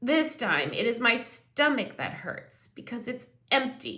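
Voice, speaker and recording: In a put-on character voice, a woman speaks at a fairly slow pace with a high pitch, lively intonation and a raised, projected voice. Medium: read story.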